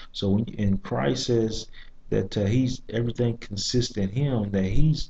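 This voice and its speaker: Speaking at a fairly slow pace, a man has a somewhat breathy voice with a dark, mellow tone and ordinary pitch variation. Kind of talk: monologue video review with preaching. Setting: library. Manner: soft-spoken; halting, many fillers and repeats. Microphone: too quiet.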